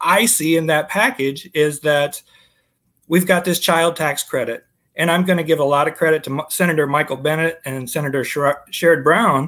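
Speaking with an American accent, a man with a fairly high pitch and a bright, sharp tone keeps a fairly even intonation at a moderate pace. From US Midwest. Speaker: former state house candidate; candidate. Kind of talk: political interview. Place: home room.

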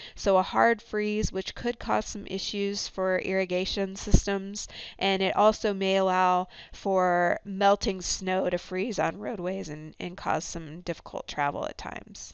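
A woman with an unremarkable speaking voice talks at a fairly slow pace. Her pitch is medium and her intonation fairly even. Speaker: meteorologist. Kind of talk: recorded weather briefing. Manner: formal, clear and informative; steady, with occasional filler 'um'.

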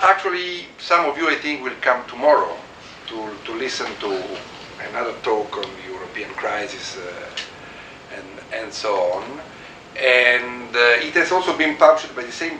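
A man's voice with big swings in loudness, audible room echo and light background noise. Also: moderate pace. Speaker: guest lecturer. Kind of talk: lecture. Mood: relaxed, anecdotal, laughs. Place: office. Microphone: camera far.

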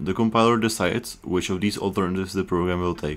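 A man speaks with a very deep, low pitch and ordinary pitch variation. Music plays in the background. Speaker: programming educator. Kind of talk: educational explainer narration.

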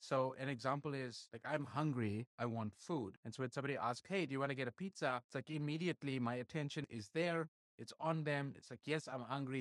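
Against a quiet background with a dry sound and no echo, a man talks at a fairly quick pace with hardly any pauses and ordinary pitch variation. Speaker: marketing channel host. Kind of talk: explainer talk to camera. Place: home room.

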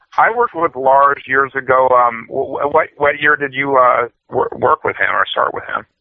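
A man with an American accent speaks in an unremarkable speaking voice at a fairly high pitch. His pace is moderate, with ordinary pitch variation and hardly any pauses. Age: 40s. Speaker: pro wrestler. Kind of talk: interview. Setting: phone call.

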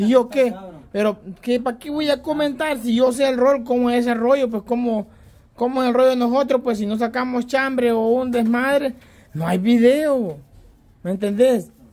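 Speaking at a moderate pace with a Salvadoran accent, a man uses an extremely high pitch and ordinary pitch variation. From El Salvador. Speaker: YouTube channel regular. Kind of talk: casual chat. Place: home room.

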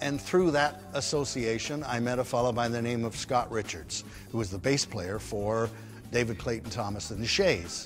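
Over clear music in the background, a man speaks at a moderate pace with lively intonation. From England, raised in Canada. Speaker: former disc jockey and singer. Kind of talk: interview answer. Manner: casual, anecdotal. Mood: animated, humorous storytelling. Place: stage.

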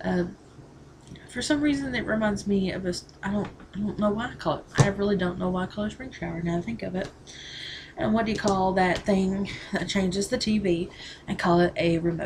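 Over noticeable background noise, a woman with a Southern US accent speaks at a fairly quick pace with ordinary pitch variation and long, frequent pauses. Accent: Southern American. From Southern US, Tennessee. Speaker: vlogger. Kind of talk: casual talk to camera. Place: home room. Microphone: webcam.

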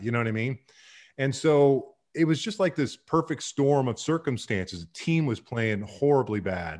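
A man with an American accent and a medium pitch talks at a moderate pace, his pitch swinging very widely, over a quiet background. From Miami, Florida, US. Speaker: baseball play-by-play announcer. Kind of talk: interview answer. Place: home room. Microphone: studio mic.

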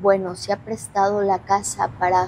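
A woman talks with monotone, flat intonation while light background noise sits underneath. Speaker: paranormal investigator host. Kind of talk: presenter commentary. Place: hall. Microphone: lapel.

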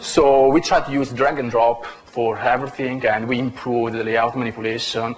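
A man's monotone, flat delivery at a moderate pace, with light background noise. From Italy. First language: Italian. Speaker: software engineer; conference presenter. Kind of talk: conference talk; lecture. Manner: halting. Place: hall. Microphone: camera far.

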